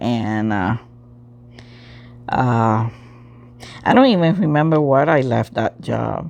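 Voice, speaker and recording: A woman's very deep, low voice with a non-native accent, lively intonation, a very slow pace, and long, frequent pauses. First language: not English. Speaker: crafts channel host. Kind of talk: casual talk to camera.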